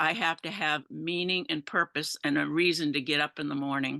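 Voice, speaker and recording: Over a quiet background, a woman speaks at a moderate pace in a very deep, low voice with a bright, sharp tone. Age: 70s. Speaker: senior webinar attendee. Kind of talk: casual chat. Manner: halting.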